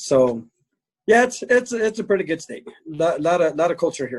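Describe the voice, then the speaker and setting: A man speaks with a high pitch for a man. His pitch swings very widely. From New Mexico, Clovis. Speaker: zoot suit seller, railroad worker. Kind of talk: interview.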